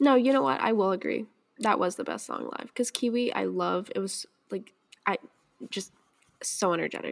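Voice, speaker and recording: Long, frequent pauses break up a woman's speech, which otherwise moves at a moderate pace. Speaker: podcast host. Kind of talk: casual chat. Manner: halting.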